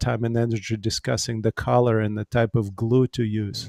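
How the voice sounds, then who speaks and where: Against a quiet background, a man talks at a moderate pace in a monotone, flat intonation, the sound dry and close with no echo. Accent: Russian. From Ukraine. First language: Russian. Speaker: pastor. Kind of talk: panel discussion. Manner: halting.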